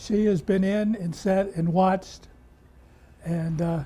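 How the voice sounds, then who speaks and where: A man with an American accent speaks at a high pitch, his dark, mellow tone kept to fairly even intonation. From Illinois, US Midwest. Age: 80s+. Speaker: retiring barbershop owner. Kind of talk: news interview. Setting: barbershop.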